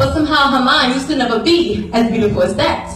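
With lively intonation and a high pitch, a woman speaks in a space with audible room echo and light background noise. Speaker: spoken word performer. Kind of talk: spoken word poetry performance. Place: church.

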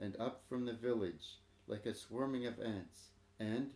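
The clip features a natural reading voice.

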